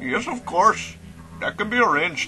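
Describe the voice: A man's high, bright, sharp put-on character voice at a fairly slow pace, with big pitch swings and faint music behind.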